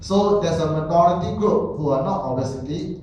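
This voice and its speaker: A man's moderately paced speech amid noticeable background noise and audible room echo. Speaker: health talk presenter. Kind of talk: lecture. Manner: halting, with repetitions.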